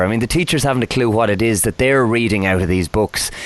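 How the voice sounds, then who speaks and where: A man speaks at a very fast pace with an Irish accent. His pitch is medium, with noticeable background noise. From Ireland. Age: 30s. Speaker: podcast host. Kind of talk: podcast interview.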